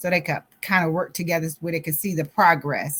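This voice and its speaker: A woman speaks in a somewhat breathy voice with a fairly low pitch. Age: 60s. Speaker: author and grief coach. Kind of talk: interview.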